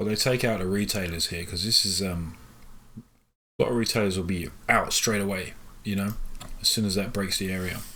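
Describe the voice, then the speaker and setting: Bright, sharp tone at a moderate pace, with fairly even intonation and audible room echo. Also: man, fairly low pitch for a man. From London, England. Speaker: day trader and live trading stream host. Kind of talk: live trading commentary. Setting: live stream.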